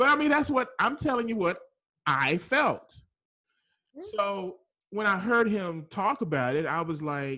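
Raising and projecting his voice, a man with an American accent sounds bright and sharp, with very wide pitch swings. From Dallas, Texas. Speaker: podcast host. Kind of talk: interview. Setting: studio.

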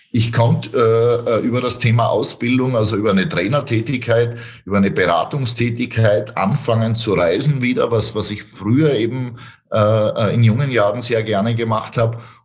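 Audible room echo surrounds a man speaking at a moderate pace and medium pitch with fairly even intonation. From Austria, Styria. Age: 40s. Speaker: real estate sales trainer. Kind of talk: interview.

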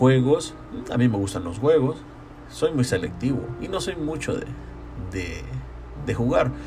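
The speaker moves at a fairly slow pace with long, frequent pauses while music plays in the background. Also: man. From El Salvador, San Salvador. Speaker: podcaster. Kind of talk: solo monologue. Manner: halting.

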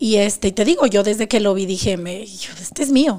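This woman has a plain, everyday voice. Her pace is moderate and her pitch varies in an ordinary way. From Mexico, Zacatecas. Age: 40s. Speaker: abuse survivor sharing her story. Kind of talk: testimony.

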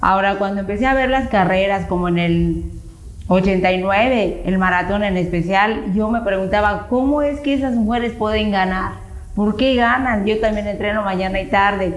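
Amid noticeable background noise and audible room echo, a woman talks at medium pitch and a moderate pace, with ordinary pitch variation and very even loudness. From Yucatán, Mexico (Chicxulub). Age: 50s. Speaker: runner. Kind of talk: interview.

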